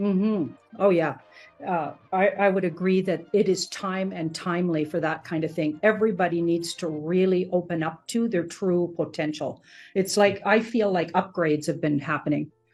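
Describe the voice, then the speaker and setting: A woman with a plain, everyday voice speaks at a moderate pace with a fairly low pitch and fairly even intonation over a quiet background. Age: 60s. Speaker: podcast host. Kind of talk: interview.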